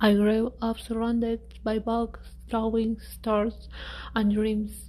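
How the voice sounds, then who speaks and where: Words come out at a fairly slow pace. A non-native accent colors the speech. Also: woman. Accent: non-native English speaker. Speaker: architect presenting a space habitat design. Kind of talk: presentation.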